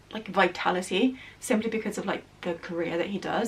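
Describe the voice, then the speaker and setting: Over noticeable background noise, a woman speaks at a fairly quick pace with a medium pitch and ordinary pitch variation. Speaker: book youtuber. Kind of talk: casual book review monologue. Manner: fast; animated.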